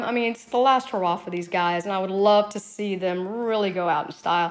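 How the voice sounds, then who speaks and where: A woman with an American accent talks at a fairly quick pace in a plain, everyday voice, medium in pitch with ordinary pitch variation. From US South. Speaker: fantasy league player. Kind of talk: listener voice message.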